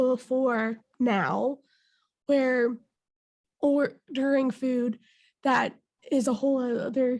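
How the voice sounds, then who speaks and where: With an American accent, a woman speaks at a very slow pace and a high pitch. Her intonation is fairly even against a quiet background. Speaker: podcast host. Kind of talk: casual chat.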